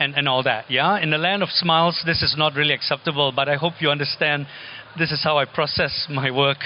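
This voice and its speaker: Noticeable background noise accompanies a man talking fairly quickly. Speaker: architect and teacher. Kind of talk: lecture. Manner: halting, many fillers and repetitions.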